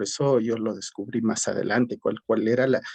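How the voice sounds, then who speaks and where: Fairly slow speech in a dry, close sound with no echo. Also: man. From Ecuador, Cayambe area (Pichincha highlands). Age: 40s. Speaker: teacher and educational psychologist. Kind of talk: interview. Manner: hesitant, with many fillers.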